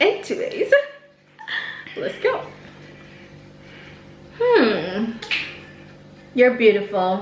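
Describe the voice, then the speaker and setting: Pausing long and often, a woman speaks at a very slow pace over noticeable background noise. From Jamaica. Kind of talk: casual talk to camera.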